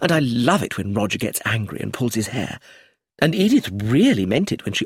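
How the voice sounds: Against a quiet background, this is a natural reading voice.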